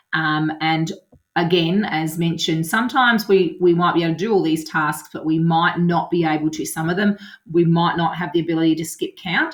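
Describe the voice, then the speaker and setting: In a normal speaking voice, a woman talks at a fairly quick pace with fairly low pitch and fairly even intonation. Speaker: primary school teacher. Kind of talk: tutorial.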